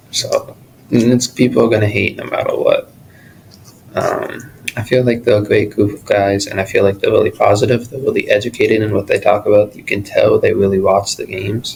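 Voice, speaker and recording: Noticeable background noise sits behind a man speaking at a fairly quick pace. His loudness swings a great deal. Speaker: podcaster. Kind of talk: casual solo talk. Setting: college study room. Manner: halting.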